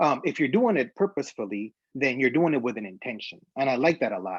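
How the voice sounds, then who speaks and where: A man with a Spanish accent speaks with lively intonation. The sound is dry and close with no echo, over a quiet background. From Honduras, Tegucigalpa. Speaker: graphic designer. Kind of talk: conference talk. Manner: halting, many fillers.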